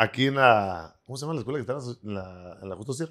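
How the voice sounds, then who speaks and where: A man with a northern Mexican accent at a very fast pace, his pitch swinging very widely, over a quiet background. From northern Mexico. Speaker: restaurant owner; podcast guest. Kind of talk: casual chat. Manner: animated, profane. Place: studio. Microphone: handheld.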